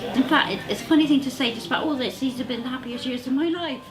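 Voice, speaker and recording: Over music in the background and audible room echo, a woman with a West Country accent speaks at a fairly high pitch. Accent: West Country English (Bristol). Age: 70s. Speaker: retired walking group member, cancer patient. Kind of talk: personal testimony in a video.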